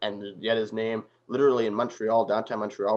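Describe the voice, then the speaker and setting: Speaking at a fairly quick pace, a man with a Canadian accent has an ordinary speaking voice and medium pitch. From Canada. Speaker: political commentator. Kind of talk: interview discussion.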